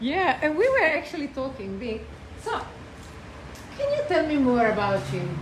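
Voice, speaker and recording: A woman with high pitch, very wide pitch swings, moderate pace and long, frequent pauses, amid noticeable background noise and audible room echo. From Croatia. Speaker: small business promoter. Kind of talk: casual chat.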